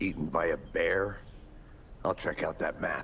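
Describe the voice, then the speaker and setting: Against clear background noise, a man uses a put-on character voice at a moderate pace. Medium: video game. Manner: dry, deadpan.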